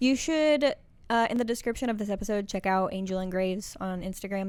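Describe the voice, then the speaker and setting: Very fast speech with a slight Southern US accent. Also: woman. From Texas. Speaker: podcast co-host. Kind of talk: casual chat.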